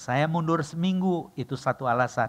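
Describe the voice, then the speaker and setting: Here a man with an unremarkable speaking voice talks at a moderate pace with ordinary pitch variation. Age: 60s. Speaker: pastor. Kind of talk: sermon. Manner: casual, joking asides.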